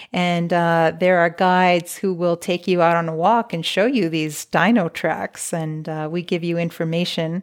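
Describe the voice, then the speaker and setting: A woman with an American accent and an unremarkable speaking voice, fairly low in pitch, at a moderate pace, on a very clean recording with a silent background. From El Paso, Texas. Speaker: newspaper reporter. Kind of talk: interview.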